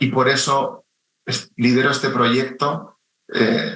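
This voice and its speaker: A man's bright, sharp voice with a Spanish accent and fairly even intonation. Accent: Spanish (Spain). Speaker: chief data officer. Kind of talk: radio interview.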